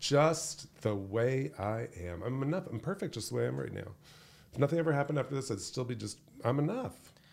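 A man talks at a fairly quick pace with lively intonation. His medium-pitched voice has vocal fry. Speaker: leadership speaker and author. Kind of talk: casual interview conversation.

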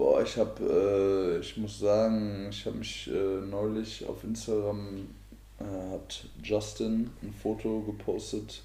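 A man talks very slowly, with audible room echo around his words. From Hesse, Germany (Marburg). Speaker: podcast co-host. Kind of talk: casual chat.

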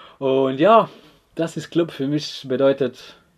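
Using ordinary pitch variation, a man of medium pitch speaks at a very slow pace. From Croatia, Split. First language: Croatian (speaking German). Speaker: footballer. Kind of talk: casual interview. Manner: halting.

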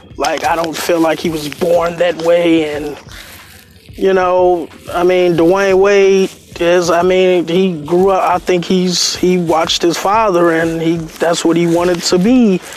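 A man speaks fairly slowly in a high pitch with monotone, flat intonation. Background noise is noticeable. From Chicago, Englewood. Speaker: podcast host. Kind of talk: casual monologue.

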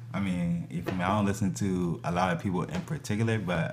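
A man with an American accent, a very deep, low pitch and very wide pitch swings at a fairly quick pace, over noticeable background noise. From New Jersey (Lawrenceville/Trenton area). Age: 30s. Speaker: photographer. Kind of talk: casual chat.

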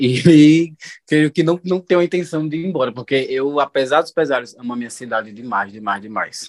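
A man's fairly high voice, a normal speaking voice, with lively intonation at a moderate pace, in a dry, close sound with no echo. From Juazeiro, Bahia, Brazil. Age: 20s. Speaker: receptionist. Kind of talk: casual chat.

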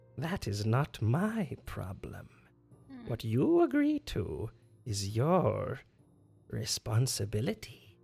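In a put-on character voice with an amused tone, the speaker talks at a very slow pace with low-to-middle pitch and long, frequent pauses over faint music in the background. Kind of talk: menacing bargaining villain. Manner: sly, coolly amused, evasive.

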